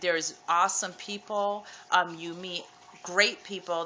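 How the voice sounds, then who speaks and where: A soft-spoken woman's medium-pitched voice, bright and sharp in tone, fairly slow, in a monotone, flat intonation. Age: 30s. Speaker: vlogger sharing weight loss surgery experience. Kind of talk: casual vlog testimony. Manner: soft-spoken, keeping quiet; hesitant with many ums.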